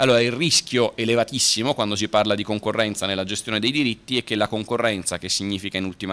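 This voice races along at a very fast pace with fairly even intonation. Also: man. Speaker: lawyer. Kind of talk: panel talk; conference talk. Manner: brisk, concise. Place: hall. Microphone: podium.

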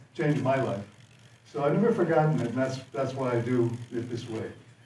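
Light background noise and audible room echo surround a man speaking at a fairly quick pace with fairly even intonation. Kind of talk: speech to audience. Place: hall.

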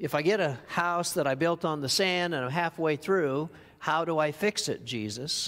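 A man with a normal speaking voice talks at a fairly slow pace. His pitch is fairly high for a man and varies in an ordinary way. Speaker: preacher. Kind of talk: sermon. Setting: church. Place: church.

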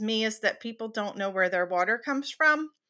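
A woman with a Southern US accent and a bright, sharp tone, over a quiet background. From South Carolina, USA. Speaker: water utility operations manager. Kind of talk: interview answer. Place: home room.

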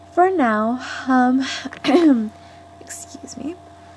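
Against noticeable background noise, a woman with an American accent speaks with lively intonation. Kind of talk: casual talk to camera.

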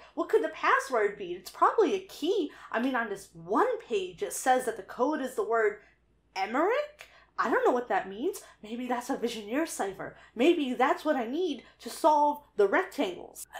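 A woman with a high pitch talks at a moderate pace in a nervous tone. Her pitch swings very widely. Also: quiet background. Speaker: YouTube video essayist and interviewer. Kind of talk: narration to camera about her failed code-solving attempts. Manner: nervous, stammering, filler words. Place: home room. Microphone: studio mic.

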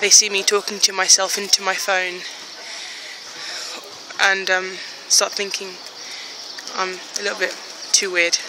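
At a moderate pace with long, frequent pauses, a woman speaks in monotone, flat intonation, in a dry sound with no echo and noticeable background noise. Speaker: plus size fashion blogger. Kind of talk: casual vlog talk to phone camera. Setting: outdoors. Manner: hesitant, tongue-tied. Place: street. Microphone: phone near.

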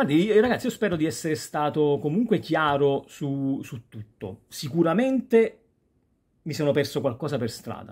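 Over a quiet background, a man talks at a moderate pace in a fairly high, somewhat breathy voice. His pitch swings very widely and his loudness shifts in big swings. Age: 40s. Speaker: YouTuber; youtuber. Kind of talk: casual vlog monologue. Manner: halting. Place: home room. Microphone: phone near.

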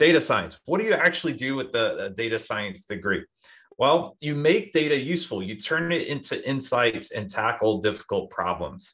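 Over a quiet background, a man speaks at a moderate pace with vocal fry and very wide pitch swings. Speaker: presenter. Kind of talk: info session presentation. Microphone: video call.

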